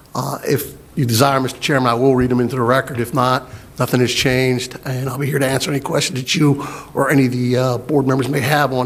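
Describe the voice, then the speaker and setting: The flat, monotone delivery moves at a fairly quick pace against noticeable background noise. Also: man. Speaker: county planning staff. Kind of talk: public meeting presentation. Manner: loud; halting, many fillers.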